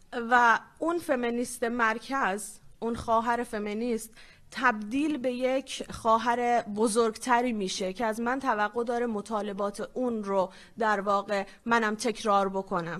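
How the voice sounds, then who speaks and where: A woman with a normal speaking voice, fairly high in pitch, at a fairly slow pace with fairly even intonation, over a quiet background. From Iranian Kurdistan. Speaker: feminist activist, panelist. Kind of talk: conference panel talk.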